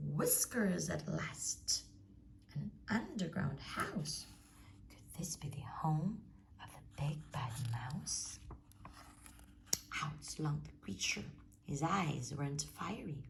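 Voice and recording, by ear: A woman whispers slowly with vocal fry, leaving long, frequent pauses.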